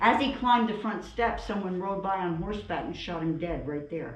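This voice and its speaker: A woman of medium pitch talks at a fairly quick pace with ordinary pitch variation. Noticeable background noise and audible room echo fill the recording. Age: 70s. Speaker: museum tour guide. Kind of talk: guided tour talk. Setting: inside historic house museum.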